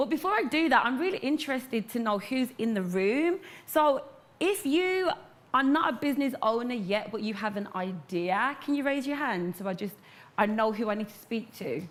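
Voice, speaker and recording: In an animated tone, a woman speaks at a moderate pace with a high pitch and very wide pitch swings. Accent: Brummie. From Birmingham, England. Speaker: entrepreneur, hair care business owner. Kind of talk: motivational talk to live audience.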